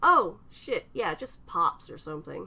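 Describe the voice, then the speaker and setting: Fairly slow delivery in a put-on character voice. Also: female-sounding voice. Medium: read story. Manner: terse, clipped.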